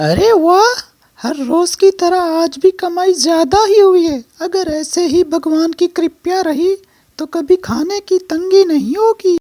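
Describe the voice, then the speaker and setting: In a cartoonish character voice, a woman speaks at a fairly slow pace in an extremely high pitch. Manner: sweet, polite.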